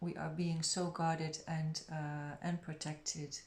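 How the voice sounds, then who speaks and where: At a very slow pace, a woman with a very deep, low pitch speaks in a monotone, flat intonation. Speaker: tarot reader. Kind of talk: tarot reading. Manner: lower and quieter; hesitant.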